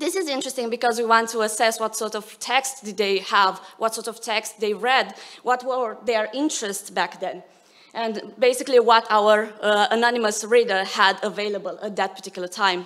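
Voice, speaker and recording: Her fairly high-pitched voice keeps a fairly even intonation as this woman talks at a moderate pace. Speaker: academic researcher. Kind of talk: conference talk. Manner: hesitant, many fillers.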